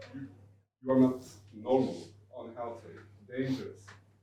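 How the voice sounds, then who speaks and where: A man with a Turkish accent speaks at medium pitch in a somewhat breathy voice with a dark, mellow tone, and audible room echo. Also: long, frequent pauses. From Turkey. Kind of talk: panel discussion. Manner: halting.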